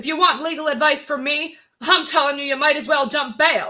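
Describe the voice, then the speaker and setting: A woman puts on a growling character voice, high in pitch. Her intonation stays fairly even and her pace is fairly quick. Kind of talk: 1940s radio acting. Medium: stage play.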